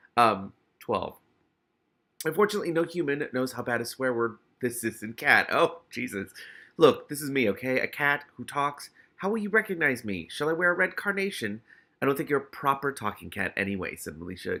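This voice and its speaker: A man's fairly high, vocal-fry voice with very wide pitch swings, a bright, sharp tone and a fairly quick pace. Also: very clean recording, silent background. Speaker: book reader with commentary. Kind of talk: reading aloud with commentary. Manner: halting.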